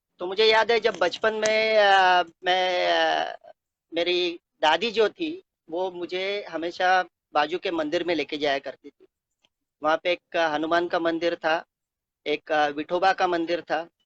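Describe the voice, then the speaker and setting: High-pitched man with a Konkani accent, fairly even intonation and big swings in loudness, in a dry, close sound with no echo. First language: Konkani (speaking Hindi). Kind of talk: testimony. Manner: halting, many filler sounds.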